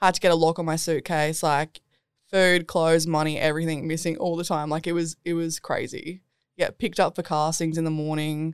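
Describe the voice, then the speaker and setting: Over a very clean recording with a silent background, a woman speaks with fairly low pitch. Her pace is fairly quick and her intonation monotone and flat. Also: dry, close sound with no echo. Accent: Australian. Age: 20s. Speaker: DJ and singer-songwriter. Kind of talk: casual chat. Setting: studio.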